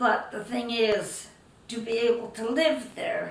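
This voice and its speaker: A woman talks at a very slow pace with a fairly high pitch. Background noise is noticeable. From Netherlands, raised in Canada. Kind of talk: interview answer.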